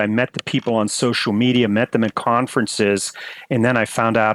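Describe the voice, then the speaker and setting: A man with an American accent and a normal speaking voice, medium pitch, fairly even intonation, a moderate pace, and a dry, close sound without echo. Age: 60s. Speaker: emergency and flight physician. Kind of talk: interview.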